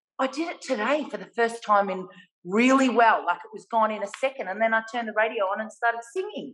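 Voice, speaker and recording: Speaking very fast in an Australian accent, a woman with a fairly high pitch sounds animated, her loudness swinging widely while her pitch varies in an ordinary way. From Australia (Melbourne). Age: 50s. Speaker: artist; guest. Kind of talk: casual interview. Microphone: video call.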